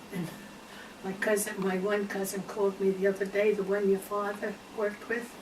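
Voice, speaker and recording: Amid noticeable background noise, a woman at medium pitch speaks fairly quickly in a flat, monotone way. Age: 80s+. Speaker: interviewee. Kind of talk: casual chat.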